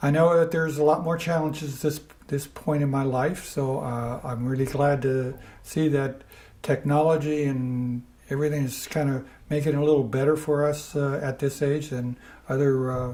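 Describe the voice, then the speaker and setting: A man at a moderate pace with a fairly high pitch and monotone, flat intonation, amid noticeable background noise. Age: 70s. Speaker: older adult interviewee with memory issues. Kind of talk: recorded interview. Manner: halting, many fillers.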